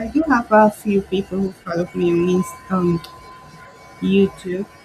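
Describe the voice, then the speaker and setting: Music plays in the background as the speaker talks at a fairly slow pace with ordinary pitch variation. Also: woman, medium pitch for a woman. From Peru. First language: Spanish. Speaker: craft artist. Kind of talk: livestream craft tutorial. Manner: relaxed, hesitant with fillers.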